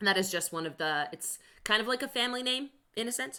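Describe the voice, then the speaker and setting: A fairly quick voice with lively intonation and a bright, sharp tone. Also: woman. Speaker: Bible teacher. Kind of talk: online class lesson. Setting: live stream. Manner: fast.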